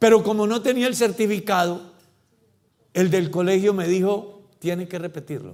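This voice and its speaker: Audible room echo surrounds a man speaking at a high pitch. He keeps a moderate pace and fairly even intonation. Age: 60s. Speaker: pastor. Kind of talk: sermon.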